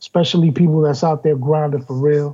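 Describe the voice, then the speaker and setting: This man speaks with a New York accent. His pitch sits fairly high, and his intonation stays fairly even. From New York City, Queens. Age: 40s. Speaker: rapper. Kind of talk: casual chat.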